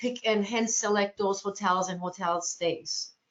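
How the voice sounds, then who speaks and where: A woman speaks with a Turkish accent. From Turkey, Ankara. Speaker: cruise line sales representative. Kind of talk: webinar presentation Q&A. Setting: online webinar.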